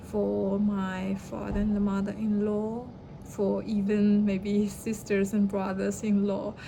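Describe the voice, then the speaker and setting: With a Chinese accent, a woman speaks very slowly in a flat monotone, amid noticeable background noise and audible room echo. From China. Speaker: vlogger. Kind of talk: personal story. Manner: halting.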